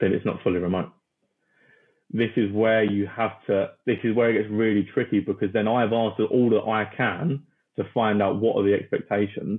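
A man speaks with a British accent in a fairly low pitch. His intonation stays fairly even. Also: moderate pace. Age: 20s. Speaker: recruitment company founder. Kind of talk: interview. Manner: talkative.

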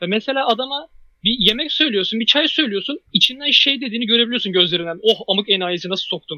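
Lively in intonation, a man talks at a fairly quick pace with a high pitch. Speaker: podcast host, university student. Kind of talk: casual chat. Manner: loud.

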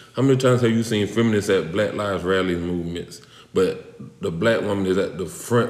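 A man's fairly low voice against noticeable background noise. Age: 40s. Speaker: coach and athlete. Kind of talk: casual chat.

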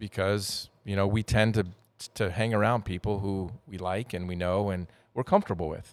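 A man with an American accent, an ordinary speaking voice, fairly low in pitch at a moderate pace, on a very clean recording with a silent background. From Wyoming, US West. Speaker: podcast co-host. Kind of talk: casual chat.

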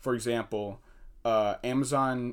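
A man with a General American accent and a monotone, flat intonation, on a very clean recording with a silent background. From US Midwest and New Jersey. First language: English, also fluent Spanish. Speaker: engineering student. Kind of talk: casual interview. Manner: halting with many fillers.

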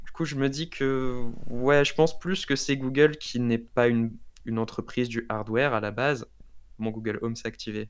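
A man with a plain, everyday voice at medium pitch, fairly even intonation and moderate pace, on a very clean recording with a silent background. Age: 20s. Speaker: student and tech YouTuber. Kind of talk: casual interview.

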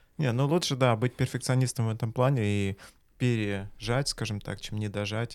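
Captured in a very clean recording with a silent background, a man talks in an unremarkable speaking voice at a medium pitch, a moderate pace and with ordinary pitch variation. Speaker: host. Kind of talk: casual interview. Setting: studio.

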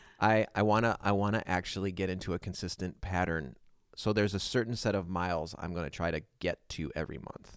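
A man speaks in a very deep, low voice. His pace is fairly quick. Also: ordinary pitch variation. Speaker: podcast host. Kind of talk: casual chat. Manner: subdued, reflective.

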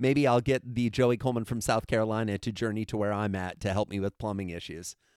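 In an animated, enthusiastic tone, a man speaks at a very fast pace. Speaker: keynote speaker and consultant. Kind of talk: casual interview chat.

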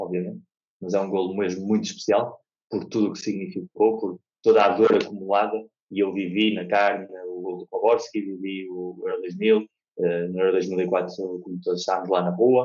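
Speaking at a moderate pace, a man with a fairly low pitch keeps a monotone, flat intonation while his loudness swings widely. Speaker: football author and historian. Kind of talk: casual interview.

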